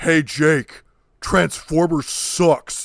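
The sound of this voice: The speaker uses a put-on character voice. Its pitch sits in the middle.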